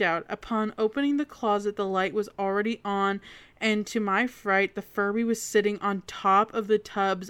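The voice heard here reads in an unforced way.

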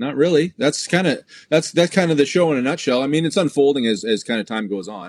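A man with a Canadian accent, fairly high in pitch, very fast, with lively intonation. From southern Ontario, Canada (Drayton). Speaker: motorcycle event organizer. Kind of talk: casual interview. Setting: remote call.

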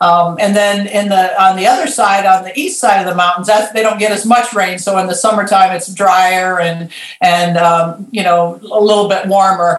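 A woman with an American accent speaks at a moderate pace and a medium pitch. Her intonation is fairly even, and there is noticeable background noise. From Michigan, Lansing. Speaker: consultant and life coach. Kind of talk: interview.

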